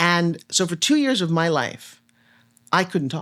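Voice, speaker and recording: The tone is animated and the pace moderate. The recording is very clean, with a silent background. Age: 60s. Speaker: motivational speaker and TV host. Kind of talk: casual chat.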